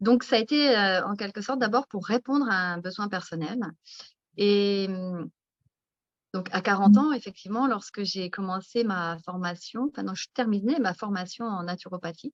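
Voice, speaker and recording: At a moderate pace, a woman with an unremarkable speaking voice speaks in a medium pitch with ordinary pitch variation. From France, countryside. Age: 50s. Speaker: naturopath and author. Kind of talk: interview. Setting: live video stream.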